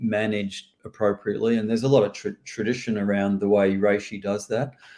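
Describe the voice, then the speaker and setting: Monotone and flat in intonation, a man with a fairly low pitch and a dark, mellow tone speaks at a fairly quick pace. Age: 60s. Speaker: medical herbalist. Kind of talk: live Q&A. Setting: live stream. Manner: halting.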